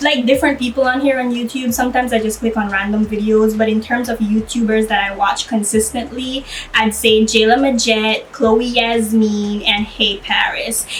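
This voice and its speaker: In a Belizean accent, a woman speaks with hardly any pauses, a fairly high pitch and fairly even intonation, over noticeable background noise. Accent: Belizean, enunciated proper English. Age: 30s. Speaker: YouTuber. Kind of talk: casual Q&A vlog. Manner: slow, stretched enunciation.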